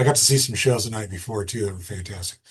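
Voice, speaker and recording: Here a man with an American accent speaks in a fairly low, somewhat breathy voice. The background is quiet. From Massachusetts. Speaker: musician and festival founder. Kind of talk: casual podcast conversation.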